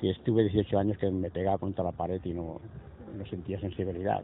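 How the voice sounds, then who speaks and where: In a fairly low voice, a man speaks at a moderate pace with monotone, flat intonation. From Spain, Castellón province. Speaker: former political prisoner. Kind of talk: testimony. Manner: halting, repetitive.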